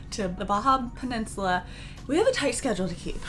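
Light background noise runs under a woman who speaks at a fairly quick pace. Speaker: travel vlogger. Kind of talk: casual vlog chat. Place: home room.

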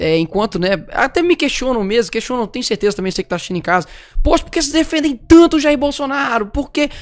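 A man with a Minas Gerais accent and lively intonation. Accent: mineiro Brazilian Portuguese. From Belo Horizonte, Brazil. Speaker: talk show co-host. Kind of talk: casual chat. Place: studio. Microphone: studio mic.

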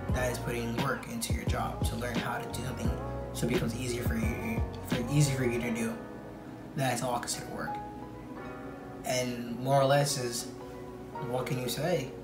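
A man at a fairly quick pace, with long, frequent pauses and clear music in the background. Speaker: vlogger. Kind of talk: casual talk to camera. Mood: relaxed, reflective. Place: home room. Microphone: earbuds.

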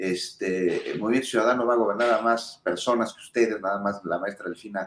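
A man is speaking. Some room echo can be heard. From Mexico. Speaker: political commentator. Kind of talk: panel discussion. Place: home room. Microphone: video call.

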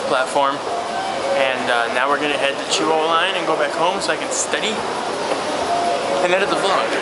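Amid loud background noise, a man talks at a very fast pace with ordinary pitch variation. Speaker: vlogger. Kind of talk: casual vlog chat. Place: station. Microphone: phone near.

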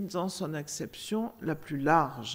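The intonation is lively. The pace is very slow. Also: woman. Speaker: auditing institution official; member of an audit court giving a report. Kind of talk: conference moderation. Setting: stage with audience. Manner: formal. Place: meeting room. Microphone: podium.

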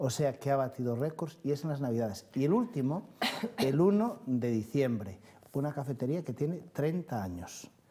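Somewhat breathy with a dark, mellow tone, a man speaks at a fairly high pitch and moderate pace, his intonation lively. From Galicia. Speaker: city councillor. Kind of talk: studio interview answering viewer calls. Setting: TV studio. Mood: pleased, upbeat. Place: studio.

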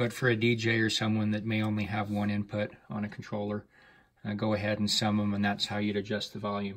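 Over a quiet background, a man speaks. His intonation is monotone and flat. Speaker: audio dealer reviewing gear. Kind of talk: tutorial. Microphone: phone near.

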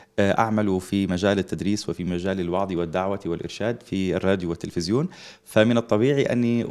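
This speaker has an Egyptian accent. The pace is moderate. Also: man. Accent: speaks Egyptian Arabic fluently. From Libya. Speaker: Islamic preacher and teacher. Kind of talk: religious TV interview.

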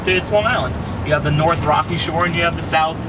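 A man talks over loud background noise. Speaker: local tour guide. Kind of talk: casual commentary. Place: car. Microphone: camera far.

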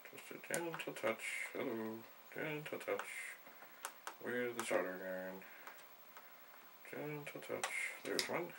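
A man speaks very slowly, with noticeable noise in the background. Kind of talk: tutorial. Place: home room.

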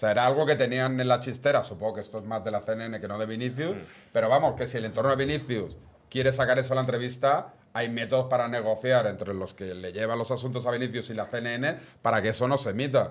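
Very fast and fairly even in intonation, a man talks at a medium pitch. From Barcelona, Spain; Spain. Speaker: football pundit. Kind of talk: casual chat. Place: studio. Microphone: studio mic.

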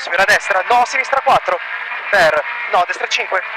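At a fairly slow pace, the voice comes through dry and echo-free over noticeable background noise. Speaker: rally co-driver. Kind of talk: rally pacenotes read aloud to the driver. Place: car. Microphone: helmet.

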